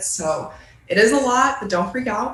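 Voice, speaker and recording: Recorded with audible room echo and noticeable background noise, a woman speaks in an American accent. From Michigan, Ann Arbor. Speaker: graduate student intern presenting. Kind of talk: presentation at a virtual meeting. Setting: video call.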